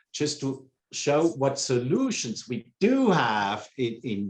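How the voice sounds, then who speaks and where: This man has a fairly high pitch and speaks with a Swiss accent. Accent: non-native English, Swiss. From Switzerland. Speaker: pump company sales engineer. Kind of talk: interview.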